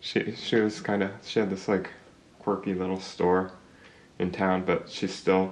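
With an American accent, a man speaks at a fairly slow pace in a very deep, low pitch and a monotone, flat intonation. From Oklahoma, US. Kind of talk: casual interview.

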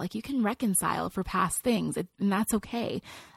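A woman with an American accent talks at a fairly quick pace in a somewhat breathy, medium-pitched voice with ordinary pitch variation, recorded very cleanly, dry and close with no echo and a silent background. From California, Nigerian family. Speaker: international speaker and author. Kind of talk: interview.

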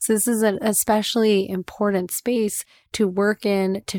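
A woman's medium-pitched voice, dry and close with no echo, on a very clean recording with a silent background. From US Midwest, Detroit suburbs. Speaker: sex and relationship coach. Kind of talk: casual chat; guided meditation.

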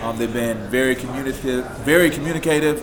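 A man talks at a very fast pace in a medium pitch. Background noise is noticeable. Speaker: paranormal investigator, TV cast member. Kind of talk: casual group interview.

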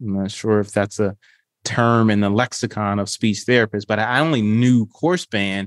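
Recorded very cleanly against a silent background, with a dry, close sound and no echo, a man speaks at a moderate pace in an unremarkable speaking voice with fairly low pitch. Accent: American. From Detroit, Michigan. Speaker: speech pathologist and consultant. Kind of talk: podcast interview.

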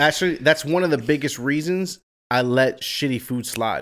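Delivered with ordinary pitch variation, an ordinary speaking voice moves at a moderate pace. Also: man. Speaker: podcast co-host. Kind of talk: casual chat.

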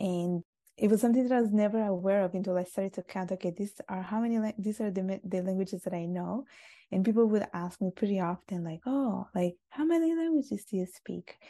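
A woman's medium-pitched voice with a dark, mellow tone, very fast delivery, ordinary pitch variation, and a dry, close sound with no echo over a quiet background. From Sicily, Italy. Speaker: author and polyglot YouTuber. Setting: video call across continents.

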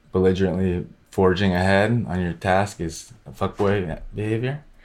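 A man with an American accent, fairly low-pitched, his intonation fairly even, on a very clean recording with a silent background. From mixed: Scotland, upstate New York, San Francisco Bay Area. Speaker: novelist. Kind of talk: casual interview. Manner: halting, many fillers.

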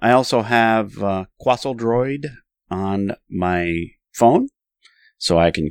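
Heard in a Northern New York accent, the voice moves with ordinary pitch variation. The sound is dry and close with no echo, and the recording is very clean against a silent background. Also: man. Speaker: podcast co-host. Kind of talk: casual chat.

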